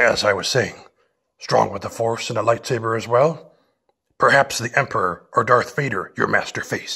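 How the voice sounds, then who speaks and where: Using a put-on character voice, a man speaks in a calm tone at a moderate pace, raspy and at a medium pitch. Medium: audio drama. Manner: inverted word order, calm, unhurried.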